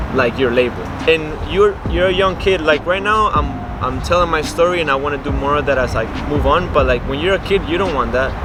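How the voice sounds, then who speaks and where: Speaking at a fairly quick pace in a Spanish accent, a man is heard with audible room echo and noticeable background noise. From Colombia. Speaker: interviewee sharing immigrant experience. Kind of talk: casual chat. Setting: outdoors.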